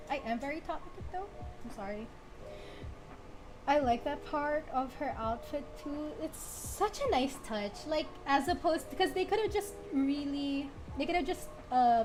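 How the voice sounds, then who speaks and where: A woman talks at a high pitch with lively intonation at a fairly slow pace. Long, frequent pauses break up her speech as music plays in the background. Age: 20s. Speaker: artist streamer (VTuber). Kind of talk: casual livestream chat while drawing. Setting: livestream with face-tracking model. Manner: hesitant with many fillers; calm.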